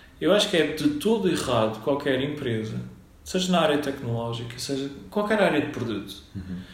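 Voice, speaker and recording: A man's fairly high voice with very wide pitch swings at a moderate pace, amid audible room echo and noticeable background noise. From Madeira, Portugal (Funchal). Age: 40s. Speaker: software company founder. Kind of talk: interview. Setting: at his company office. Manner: halting, many repetitions and fillers.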